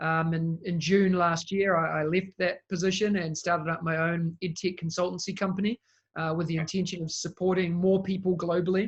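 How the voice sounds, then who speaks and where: A man with a New Zealand accent talks at a high pitch in a monotone, flat intonation. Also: fairly quick pace. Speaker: education technology consultant. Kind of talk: interview.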